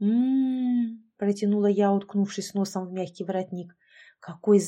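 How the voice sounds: Over a quiet background comes a natural reading voice with ordinary pitch variation.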